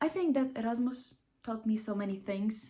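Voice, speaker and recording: A woman's fairly high, somewhat breathy voice with lively intonation at a fairly slow pace. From Ukraine. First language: not English. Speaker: vlogger. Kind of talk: casual vlog monologue. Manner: animated, halting with restarts.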